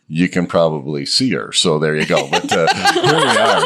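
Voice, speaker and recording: A man talks at a moderate pace. Noticeable noise sits in the background. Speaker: podcast co-host. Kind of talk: casual chat. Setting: studio.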